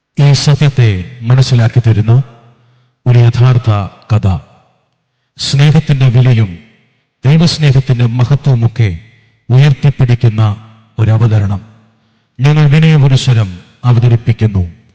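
A man at a medium pitch, fairly slow, with ordinary pitch variation, very even loudness and a dry, close sound with no echo. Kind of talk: formal sermon-like stage narration. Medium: stage play. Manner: measured, declamatory.

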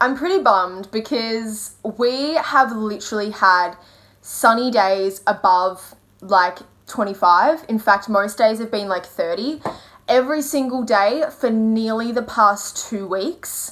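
Against a quiet background, a woman talks at a very slow pace. Her pitch shows ordinary variation. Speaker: vlogger. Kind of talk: casual vlog chat. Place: home room. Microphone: phone near.

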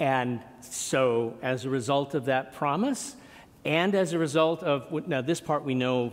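Ordinary pitch variation shapes the speech. The voice belongs to a man. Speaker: pastor. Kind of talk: sermon. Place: church.

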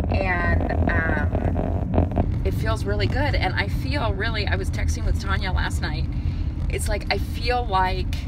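A woman talks very slowly, her voice dry with no echo, over loud background noise. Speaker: vlogger. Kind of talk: casual vlog monologue. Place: car. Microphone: phone near.

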